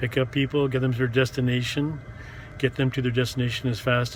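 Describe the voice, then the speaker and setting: A man with a Canadian accent speaks very fast in a flat monotone, with noticeable background noise. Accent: English-speaking Canadian. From Montreal, Quebec. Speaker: rideshare driver and vlogger. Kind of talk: casual vlog monologue. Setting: in a car. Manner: halting, many fillers.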